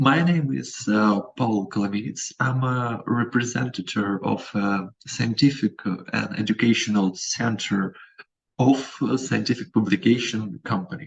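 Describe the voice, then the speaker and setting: Medium in pitch, a man talks at a fairly slow pace. His pitch varies in an ordinary way. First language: not English. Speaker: company representative, presenter. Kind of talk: webinar presentation. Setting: video call. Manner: halting.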